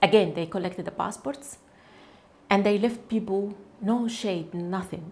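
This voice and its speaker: With an Arabic accent, a woman talks fairly slowly in a somewhat breathy voice, with ordinary pitch variation and long, frequent pauses. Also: medium pitch for a woman. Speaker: cancer researcher, activist. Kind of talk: testimony. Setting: studio. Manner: halting, with self-corrections.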